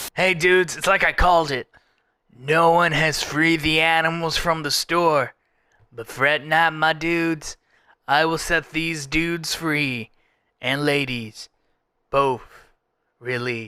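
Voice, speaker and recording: Using a put-on character voice, a man talks at a fairly high pitch and a fairly slow pace, with long, frequent pauses. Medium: actual play. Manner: surfer-style casual, rambling.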